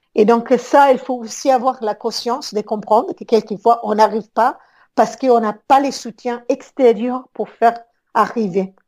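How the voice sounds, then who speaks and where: A woman with an Italian accent has a fairly high pitch. She speaks at a fairly slow pace with fairly even intonation. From Italy, Rome. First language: Italian (speaking French). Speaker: business consultant. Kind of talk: interview. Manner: halting.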